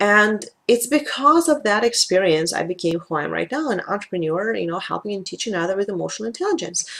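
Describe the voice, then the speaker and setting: A woman talks at a fairly quick pace with a Russian accent. Her pitch sits at medium. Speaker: life coach and tapping practitioner. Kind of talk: talking-head video.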